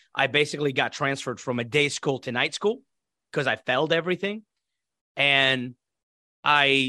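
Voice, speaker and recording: A man with an Iraqi accent, fairly high-pitched and bright, sharp in tone, ordinary pitch variation, over a quiet background. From Iraq (Baghdad). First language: Arabic. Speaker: former military interpreter and intelligence operative. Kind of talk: life story interview. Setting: video call.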